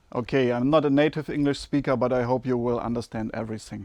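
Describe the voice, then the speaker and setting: A man's monotone, flat voice with a German accent against a quiet background. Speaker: amateur musician vlogger. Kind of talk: unboxing video, casual talk to camera.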